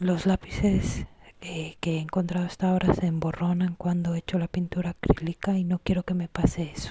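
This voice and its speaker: This soft-spoken voice moves at a moderate pace. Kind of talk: ASMR craft tutorial talk.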